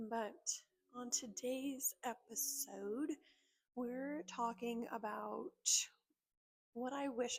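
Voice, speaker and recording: A woman with an American accent speaks quietly at a fairly high pitch. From North Jersey, US. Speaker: esthetician. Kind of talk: casual vlog talk. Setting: at work.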